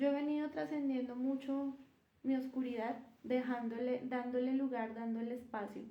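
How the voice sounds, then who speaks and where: A soft-spoken woman talks at a high pitch and a moderate pace, her tone dark and mellow. Her intonation is fairly even, and audible room echo surrounds her. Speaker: spiritual content creator. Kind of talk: live stream talk. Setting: livestream. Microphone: no microphone used.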